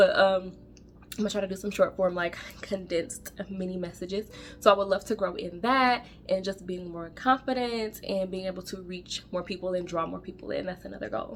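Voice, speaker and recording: An animated woman at a fairly quick pace, with big swings in loudness and music in the background. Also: medium pitch for a woman, ordinary pitch variation. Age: 30s. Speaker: faith vlogger. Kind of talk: casual vlog monologue. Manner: fast.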